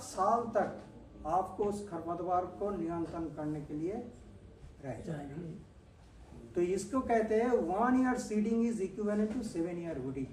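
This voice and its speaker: A man's lively intonation amid audible room echo and noticeable background noise. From Bengal, India. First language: Bengali (speaking Hindi). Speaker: agricultural scientist. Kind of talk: farmer training lecture.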